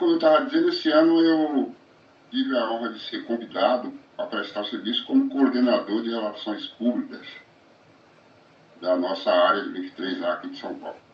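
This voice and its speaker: Moderate pace with long, frequent pauses amid noticeable background noise. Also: man. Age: 60s. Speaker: recovering gambler, support group volunteer. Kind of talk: testimony. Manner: halting.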